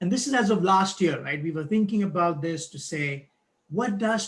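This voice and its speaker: The speaker is a man. His accent is non-native. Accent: foreign accent, noticeable. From outside the US, first-generation immigrant. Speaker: board chair of a nonprofit. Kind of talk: speech at a live-streamed event. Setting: video call live stream.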